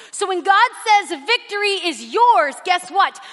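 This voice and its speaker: Over noticeable background noise, a woman speaks at a moderate pace in an animated tone with a raised, projected voice. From Mexican and Puerto Rican family background. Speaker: guest preacher. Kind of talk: sermon. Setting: church with live audience. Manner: loud.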